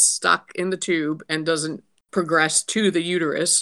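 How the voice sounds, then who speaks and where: In a very clean recording with a silent background, a woman with an American accent speaks fairly slowly, her fairly low voice bright and sharp in tone and flat, monotone in intonation. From Pittsburgh, Pennsylvania. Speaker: political candidate, retired social worker. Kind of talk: podcast interview.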